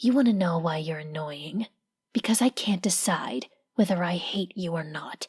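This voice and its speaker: Putting on a character voice, a woman speaks at a fairly low pitch and a moderate pace with lively intonation, and hissing can be heard. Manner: hissing through teeth, irritated.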